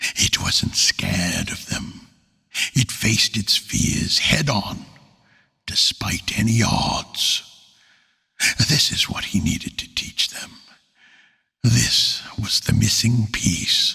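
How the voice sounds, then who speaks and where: A man talks at a very slow pace. He leaves long, frequent pauses. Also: medium pitch for a man. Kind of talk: fantasy audiobook narration. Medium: read story. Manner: earnest, measured.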